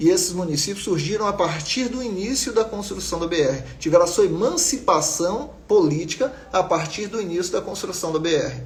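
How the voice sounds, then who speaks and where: A man's high-pitched voice with ordinary pitch variation and hardly any pauses, plus audible room echo and noticeable background noise. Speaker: geography teacher. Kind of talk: live online class. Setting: live stream. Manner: fast.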